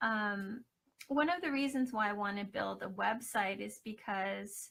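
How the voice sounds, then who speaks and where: Soft-spoken, a woman talks at a fairly slow pace with ordinary pitch variation. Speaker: scholarship finalist, academic and triathlete. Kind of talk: live video Q&A presentation. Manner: hesitant, many fillers.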